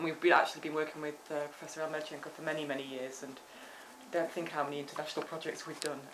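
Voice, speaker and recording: A woman with a British accent speaks in a very deep, low pitch and monotone, flat intonation, amid noticeable background noise and audible room echo. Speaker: professor. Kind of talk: academic seminar discussion. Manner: fast; hesitant, many fillers.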